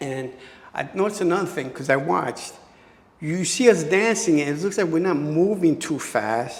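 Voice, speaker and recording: Speaking at a moderate pace in a high pitch, a man sounds animated, with lively intonation and audible room echo. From New York City (Bushwick, Brooklyn). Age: 60s. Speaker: dancer. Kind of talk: interview.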